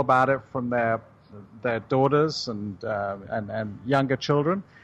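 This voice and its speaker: This man's speech moves at a fairly quick pace. He has a British accent. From United Kingdom. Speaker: juice company CEO. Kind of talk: radio interview.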